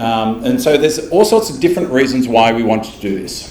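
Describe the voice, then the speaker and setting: Very wide pitch swings run through this voice. Audible room echo and noticeable background noise come through as well. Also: man. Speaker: tech company developer advocate presenting. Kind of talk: technical presentation. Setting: stage with live audience. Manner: fast, animated.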